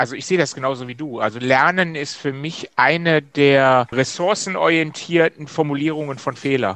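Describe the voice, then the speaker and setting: At a moderate pace with hardly any pauses, a man talks in a normal speaking voice, his pitch fairly high with ordinary variation. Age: 50s. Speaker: systemic coach, former managing director. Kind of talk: casual interview chat.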